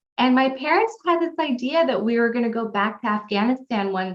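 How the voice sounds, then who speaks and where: A woman with a Californian accent speaks at a fairly high pitch. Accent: Californian American. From California, US. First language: Pashto. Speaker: pilot and non-profit founder. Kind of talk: interview.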